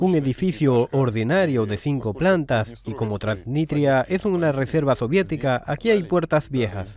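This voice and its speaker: Using a plain, everyday voice, a man at a medium pitch speaks at a fairly slow pace with lively intonation. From Moscow, Russia. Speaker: travel vlogger. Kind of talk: documentary narration with street interviews.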